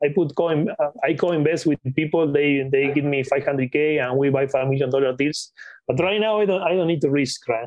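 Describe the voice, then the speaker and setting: A man with a Spanish accent, fairly high in pitch, with very even loudness, ordinary pitch variation and a fairly quick pace. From Patagonia, Argentina. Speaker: acquisitions investor. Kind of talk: interview.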